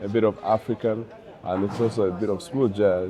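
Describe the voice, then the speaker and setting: Over noticeable background noise, the speech moves at a moderate pace with ordinary pitch variation. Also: man. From Uganda. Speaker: jazz saxophonist. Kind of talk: interview. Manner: halting.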